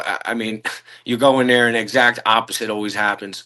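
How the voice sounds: A man's fairly low-pitched voice with a bright, sharp tone.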